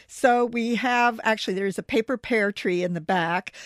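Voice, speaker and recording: A woman with a plain, everyday voice, a fairly high pitch and an American accent, at a moderate pace. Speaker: newspaper books editor. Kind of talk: casual chat. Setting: studio.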